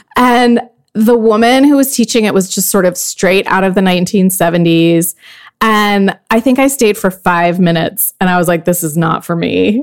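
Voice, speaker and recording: A woman with a plain, everyday voice speaks at medium pitch and a moderate pace, with ordinary pitch variation. Her loudness stays very even on a very clean recording with a silent background. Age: 40s. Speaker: podcast host and former magazine editor. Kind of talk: interview.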